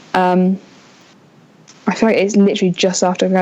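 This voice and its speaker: A woman with an English accent, medium in pitch, dark and mellow in tone, with monotone, flat intonation. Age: 20s. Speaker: student going to work at a theme park. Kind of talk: casual chat. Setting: podcast.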